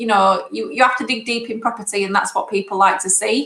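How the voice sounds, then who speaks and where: A woman with a northern English accent talks at a fairly quick pace in a fairly high voice. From northern England. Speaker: property investor. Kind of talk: interview.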